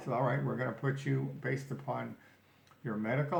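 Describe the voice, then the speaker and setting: A man is talking, and audible room echo surrounds his voice. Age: 80s+. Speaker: vlogger sharing health journey. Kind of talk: personal video diary. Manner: halting, with fillers and self-corrections.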